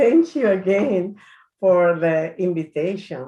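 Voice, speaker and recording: With a Spanish accent and lively intonation, a woman speaks at a very slow pace against a quiet background. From Dominican Republic. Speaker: church health ministries director. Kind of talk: presentation.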